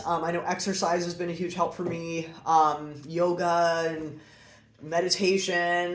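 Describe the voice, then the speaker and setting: Audible room echo surrounds a woman speaking in a fairly low voice. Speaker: breast cancer survivor vlogger. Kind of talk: personal explainer monologue. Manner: hesitant, many fillers.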